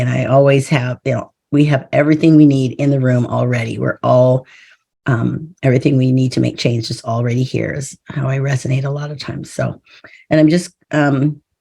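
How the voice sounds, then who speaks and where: A woman talks at a fairly quick pace in a very deep, low voice with a dark, mellow tone and monotone, flat intonation. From South Dakota, US. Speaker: circle facilitator. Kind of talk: workshop facilitation. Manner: fast.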